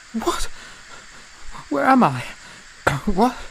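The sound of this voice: A man uses a put-on character voice, extremely high-pitched with a fairly bright tone and vocal fry. He speaks very slowly, with big pitch swings.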